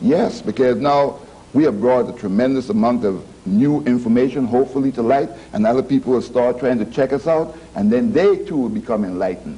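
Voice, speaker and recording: With an American accent, a man speaks at a medium pitch with lively intonation. There is noticeable background noise. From US Virgin Islands (St Croix). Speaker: professor. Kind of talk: TV panel discussion.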